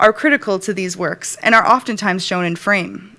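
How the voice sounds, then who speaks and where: Noticeable background noise behind a woman's voice with an American accent. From Rhode Island, USA. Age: 30s. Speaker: design writer, graduate student. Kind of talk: thesis presentation.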